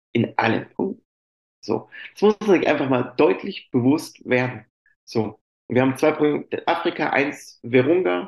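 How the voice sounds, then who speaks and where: Speaking at a fairly slow pace, a man with a fairly high pitch leaves long, frequent pauses. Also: lively intonation. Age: 40s. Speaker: chocolate company employee and sommelier. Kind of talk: interview.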